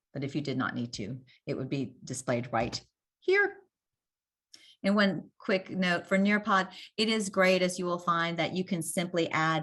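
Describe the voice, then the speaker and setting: An American accent from a woman, lively intonation, long and frequent pauses, a quiet background. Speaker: teacher presenting to other teachers. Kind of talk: webinar presentation. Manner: fast.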